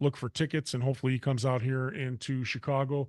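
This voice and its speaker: With a dry, close sound, no echo and a quiet background, a man speaks at a fairly quick pace in an unremarkable speaking voice, medium in pitch with fairly even intonation. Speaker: talk show host. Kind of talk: interview; show closing remarks. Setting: studio.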